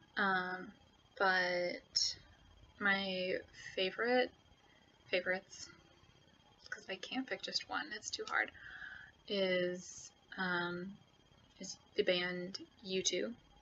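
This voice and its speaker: With an American accent, a woman speaks at a very slow pace and medium pitch, using ordinary pitch variation and long, frequent pauses. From United States. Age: 20s. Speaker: YouTuber. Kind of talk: casual chat. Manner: hesitant, many fillers.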